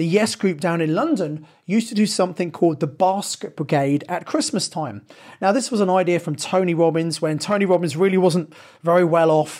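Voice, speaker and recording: Speaking with a southern English accent, a man talks at a moderate pace in a high pitch with ordinary pitch variation. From southern England (Sevenoaks, Kent). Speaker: property investment podcast host. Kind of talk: solo podcast monologue.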